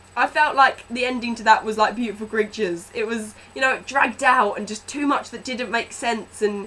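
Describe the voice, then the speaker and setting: Over noticeable background noise, a woman with a fairly high pitch talks at a fairly quick pace in an animated tone. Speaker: book vlogger. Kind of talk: movie review vlog. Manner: loud.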